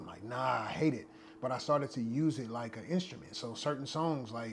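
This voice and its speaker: With audible room echo, a man at medium pitch speaks at a fairly quick pace, with ordinary pitch variation and big swings in loudness. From US West Coast, Long Beach, California. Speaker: actor and rapper. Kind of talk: podcast interview. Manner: conversational, casual.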